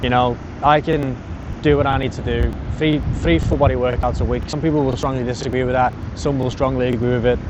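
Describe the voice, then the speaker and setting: Amid noticeable background noise and audible room echo, a man of medium pitch speaks very fast with fairly even intonation. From England. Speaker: personal trainer and podcast host. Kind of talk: casual monologue. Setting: outdoors at a beach. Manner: rambling, easily distracted.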